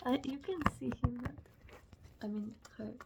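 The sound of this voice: A husky, rough-edged woman's voice with vocal fry, pitched high, at a very slow pace, dark and mellow in tone, nervous-sounding, with lively intonation.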